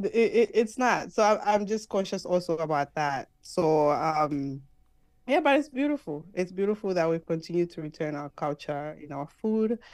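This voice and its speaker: A woman speaks at a moderate pace with a fairly low pitch. Her pitch swings very widely. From Zambia. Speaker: podcast host. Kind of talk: casual interview conversation.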